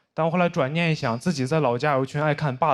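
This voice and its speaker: Against noticeable background noise, a man talks at a very fast pace. He has a Beijing accent. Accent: Beijing Mandarin. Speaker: stand-up comedian; university student. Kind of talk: stand-up comedy set.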